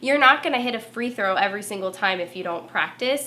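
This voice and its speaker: Spoken in a Southern California accent with an animated tone and ordinary pitch variation, the voice comes through over noticeable background noise. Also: woman. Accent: Valley girl way of talking. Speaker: former TV reporter turned marketer. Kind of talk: tutorial.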